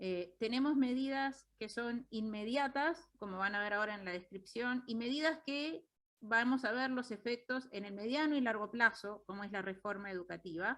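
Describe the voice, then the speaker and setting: With a strong Uruguayan accent, a woman speaks at a fairly high pitch and a moderate pace with ordinary pitch variation. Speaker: economist. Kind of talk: lecture. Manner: halting.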